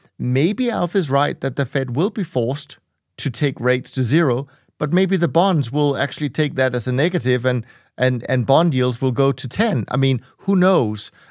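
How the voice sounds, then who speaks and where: In a very clean, dry, close recording with no echo and a silent background, a man with a normal speaking voice talks at a moderate pace, fairly high in pitch with lively intonation. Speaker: podcast host and hedge fund manager. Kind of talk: interview.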